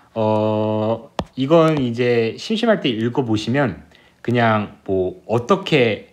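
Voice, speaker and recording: The room's echo is audible as this man talks at a medium pitch. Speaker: physics tutor. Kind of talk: lecture.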